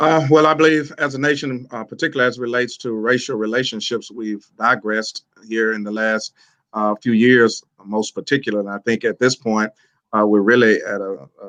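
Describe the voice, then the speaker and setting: An ordinary speaking voice from a man at medium pitch, fairly quick pace, ordinary pitch variation and big swings in loudness, dry and close with no echo against a quiet background. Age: 60s. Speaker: pastor. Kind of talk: panel discussion. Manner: measured, frequent filler uhs.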